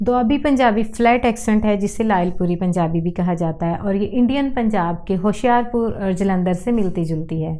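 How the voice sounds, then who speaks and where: The woman's voice sits at a medium pitch with a dark, mellow tone and ordinary pitch variation. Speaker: language and accent educator. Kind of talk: educational talk to camera.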